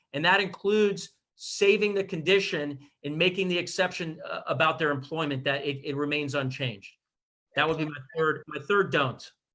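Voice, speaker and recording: The voice has an American accent. Its tone is bright and sharp. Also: man, fairly high pitch for a man, ordinary pitch variation. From Miami, Florida. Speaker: real estate attorney. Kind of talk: expert advice in livestream interview. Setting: Zoom livestream. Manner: fast.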